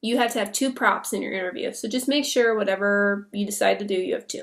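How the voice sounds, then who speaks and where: A very clean recording against a silent background, with ordinary pitch variation. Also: woman. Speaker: online English teacher and coach. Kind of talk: tutorial. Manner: casual with frequent fillers.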